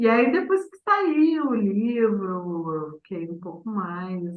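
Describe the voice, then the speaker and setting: Very wide pitch swings mark speech delivered at a very slow pace. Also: woman. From southern Brazil, Vale do Taquari, Rio Grande do Sul. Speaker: poet and performer. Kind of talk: interview. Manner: very slow speech.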